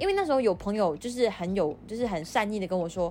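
A woman speaks in a normal speaking voice with medium pitch and lively intonation. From Malaysia. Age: 20s. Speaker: podcast host. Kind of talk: solo podcast monologue. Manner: casual, code-switching with English.

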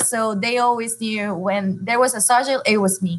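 A woman speaks with a Honduran accent. Her pitch varies in an ordinary way. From Honduras. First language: Spanish. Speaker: elementary school teacher in dual language program. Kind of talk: casual chat.

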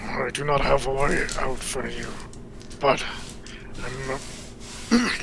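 A man's put-on character voice at medium pitch, fairly slow, over loud background noise. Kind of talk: solemn fantasy speech. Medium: actual play. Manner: formal, no contractions.

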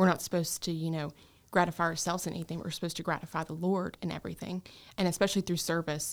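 Someone talks at a very fast pace with a Southern US accent, captured in a very clean recording with a silent background. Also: woman. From North Carolina, Gaston County. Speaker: nursing student. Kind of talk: casual interview.

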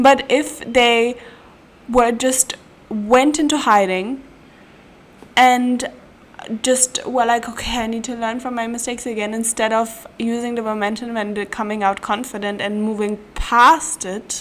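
In a German accent, a woman with a fairly high voice speaks in an animated tone at a fairly slow pace. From German-speaking country. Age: 20s. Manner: animated, laughs often.

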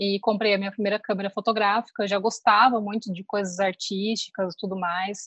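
With a plain, everyday voice, a woman talks at a fairly quick pace with fairly high pitch and fairly even intonation, in a dry, close sound with no echo. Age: 30s. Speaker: photographer. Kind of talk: casual interview.

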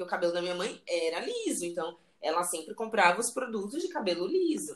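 Noticeable background noise runs under this clip. A woman speaks fairly quickly with a fairly high pitch. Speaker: podcast host. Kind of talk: casual chat.

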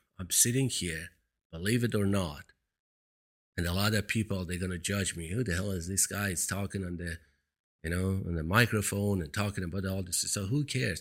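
With a Persian accent, a man talks at a fairly quick pace in a very deep, low pitch. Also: ordinary pitch variation. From Iran. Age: 50s. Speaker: motivational speaker / video blogger. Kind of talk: monologue telling personal story. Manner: motivational, earnest.

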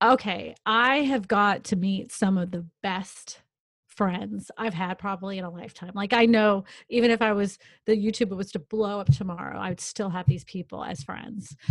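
A woman speaks in an animated, somewhat breathy tone with ordinary pitch variation. Her loudness swings widely. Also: medium pitch for a woman, moderate pace. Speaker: real estate agent and YouTuber. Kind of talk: casual interview chat. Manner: animated, talks with hands.

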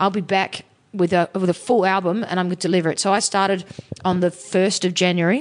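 A woman talks at a fairly quick pace, her loudness staying very even throughout. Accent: Australian. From Sydney, Australia. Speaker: musician. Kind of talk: casual interview chat. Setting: hotel band room.

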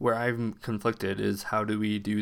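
A fairly low-pitched man's voice, monotone and flat, on a very clean recording with a silent background. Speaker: podcast host. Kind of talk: solo podcast monologue with reading aloud. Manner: slow talker.

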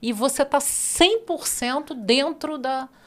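A woman talks very slowly with lively intonation. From Brasília, Brazil. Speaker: podcast host. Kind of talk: interview.

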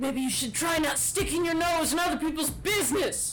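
Someone talks at a fairly quick pace in a put-on character voice, with clear background noise. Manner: shouting.

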